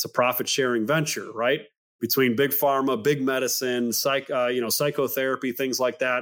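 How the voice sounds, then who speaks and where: With an American accent, a man of medium pitch speaks at a moderate pace in a monotone, flat intonation. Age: 30s. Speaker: men's health clinic CEO, former police officer. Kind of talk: interview.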